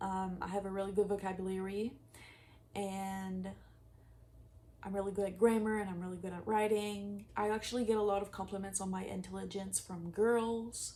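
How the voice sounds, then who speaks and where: Audible room echo surrounds a woman whose voice has a dark, mellow tone and monotone, flat intonation. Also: medium pitch for a woman, moderate pace. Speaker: manifestation coach. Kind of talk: casual vlog advice. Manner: casual, filler-heavy speech.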